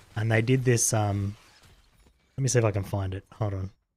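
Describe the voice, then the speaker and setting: With an Australian accent, a man speaks at a fairly quick pace. His tone is relaxed, and his pitch varies in an ordinary way. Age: 40s. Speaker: video game streamer. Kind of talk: casual chat. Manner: mumbling at times.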